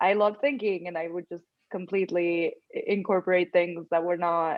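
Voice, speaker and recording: The speech moves at a moderate pace. Its intonation is fairly even. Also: woman, fairly low pitch for a woman. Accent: non-native. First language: not English. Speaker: law school applicant. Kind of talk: casual chat. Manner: many fillers.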